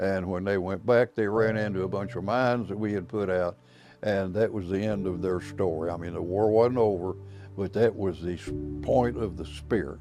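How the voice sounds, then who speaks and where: A man at a moderate pace, fairly low in pitch, with ordinary pitch variation and music in the background. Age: 80s+. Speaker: war veteran. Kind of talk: interview answer.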